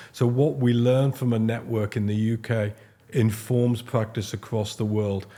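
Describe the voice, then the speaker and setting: In a very clean recording with a silent background, a man with a Liverpool accent speaks in a dark, mellow tone that is somewhat breathy. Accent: Liverpool (Scouse) English. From Liverpool, England. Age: 60s. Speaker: paediatric haematologist. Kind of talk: podcast interview. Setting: studio sofa. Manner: halting, with fillers and restarts.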